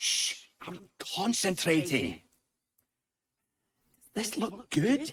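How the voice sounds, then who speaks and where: Using a put-on character voice with a high pitch, a man speaks at a very slow pace with long, frequent pauses. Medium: video game.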